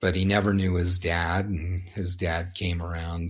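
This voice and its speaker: Very deep and low in pitch, a man talks at a fairly slow pace in a somewhat breathy, monotone voice with flat intonation. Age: 50s. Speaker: snowboarder and athlete agent. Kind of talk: casual chat. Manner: profane, rambling storyteller.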